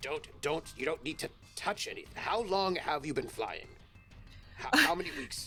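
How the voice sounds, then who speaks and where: A man's gruff, put-on character voice in a stern tone, with clear music in the background. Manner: stern, instructing.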